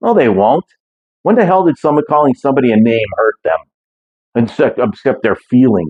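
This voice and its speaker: Animated in tone, a man speaks at a moderate pace with very wide pitch swings. His loudness stays very even. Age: 60s. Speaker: fitness vlogger, former powerlifter. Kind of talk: casual monologue vlog. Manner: animated, blunt.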